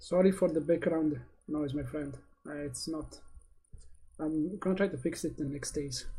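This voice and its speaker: Fairly high in pitch yet dark and mellow in tone, a man speaks at a moderate pace with fairly even intonation and long, frequent pauses. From Morocco. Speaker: day trader streamer. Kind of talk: live trading stream commentary. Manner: halting, many fillers.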